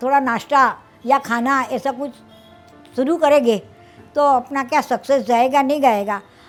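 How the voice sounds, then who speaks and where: Over music in the background, a woman talks at a high pitch with fairly even intonation. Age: 70s. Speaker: home food entrepreneur. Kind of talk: interview.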